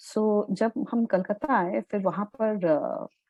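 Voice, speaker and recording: In a Bengali accent, a woman speaks with a dark, mellow tone, the sound dry and close with no echo against a quiet background. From India, Calcutta. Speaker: journalist and author. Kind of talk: interview.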